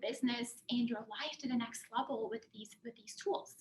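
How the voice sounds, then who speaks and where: Against noticeable background noise, a woman talks at a moderate pace in a high pitch. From Germany. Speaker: career and life coach. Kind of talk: presentation.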